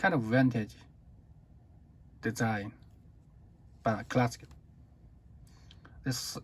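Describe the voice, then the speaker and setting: A man speaks with a Chinese accent and ordinary pitch variation. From China. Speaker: watch reviewer. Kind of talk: product review. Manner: halting.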